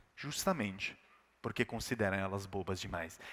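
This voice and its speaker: Speaking at a moderate pace, a man with an Italian accent has an animated tone. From Italy. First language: Italian (speaking Portuguese). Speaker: keynote speaker. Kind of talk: keynote talk.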